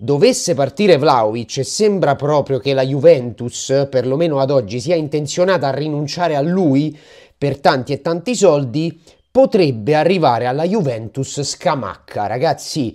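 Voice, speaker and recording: A man's fairly high-pitched voice with a dark, mellow tone, moderate pace, and a quiet background. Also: ordinary pitch variation. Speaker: football YouTuber. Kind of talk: casual vlog-style football news. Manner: animated. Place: home room. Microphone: lapel.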